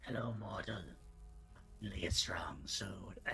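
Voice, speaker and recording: A man whispering in a put-on character voice at a moderate pace, with clear background noise. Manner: eerie, witchy.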